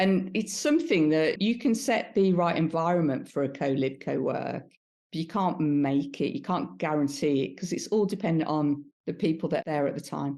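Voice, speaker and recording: Speaking with a Birmingham accent, a woman uses a very deep, low, dark and mellow voice with lively intonation at a moderate pace, set against a quiet background. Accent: Brummie. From Birmingham, England. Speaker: B2B marketer. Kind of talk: interview answer.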